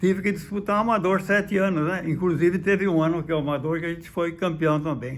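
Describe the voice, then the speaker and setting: A man speaks at a very fast pace with hardly any pauses. His voice is high-pitched, with fairly even intonation. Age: 90s. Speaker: former football club president. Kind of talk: interview. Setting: at his home. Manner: halting, repeats words.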